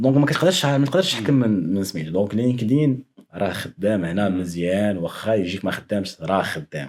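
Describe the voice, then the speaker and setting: Speaking with a Moroccan accent, a man with a fairly low pitch talks at a fairly quick pace with lively intonation and hardly any pauses. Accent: Moroccan Arabic with French code-switching. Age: young. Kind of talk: casual podcast conversation.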